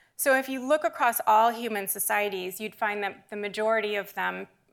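This woman speaks with an American accent at a moderate pace, her pitch medium and its variation ordinary, in a plain, everyday voice on a very clean recording with a silent background. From US Northeast, New Hampshire. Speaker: anthropologist. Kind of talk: public lecture.

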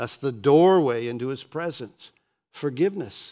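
Speaking fairly slowly with lively intonation, a man with an American accent has an unremarkable speaking voice, fairly high in pitch, against a quiet background. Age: 60s. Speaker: pastor. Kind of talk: sermon. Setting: church.

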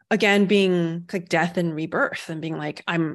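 In a plain, everyday voice, a woman speaks at a medium pitch and moderate pace with fairly even intonation over a quiet background. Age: 30s. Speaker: meditation teacher. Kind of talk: casual chat.

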